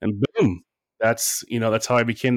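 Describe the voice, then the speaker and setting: A man at medium pitch, an unremarkable speaking voice, with a fairly quick pace and fairly even intonation, in a very clean recording with a silent background and a dry, close sound free of echo. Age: 40s. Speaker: relationship coach. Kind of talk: casual chat.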